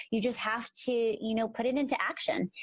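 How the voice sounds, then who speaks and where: A somewhat breathy woman's voice, fairly high in pitch, at a fairly quick pace. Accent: American. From Philadelphia, US. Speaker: podcast co-host, speech-language pathologist. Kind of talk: casual podcast chat.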